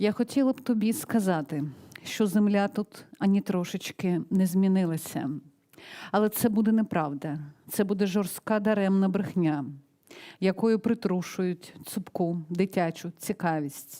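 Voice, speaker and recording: A woman speaks with a Ukrainian accent at medium pitch, her dark, mellow tone moving at a moderate pace with ordinary pitch variation on a very clean recording with a silent background. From Donetsk, eastern Ukraine. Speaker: poet. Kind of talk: poetry reading.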